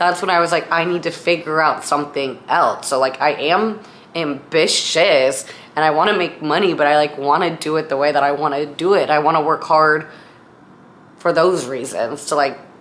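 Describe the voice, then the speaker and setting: A woman with an American accent talks at a moderate pace in a very deep, low voice, her intonation fairly even and her loudness very even. Noticeable background noise is present. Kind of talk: casual talk to camera.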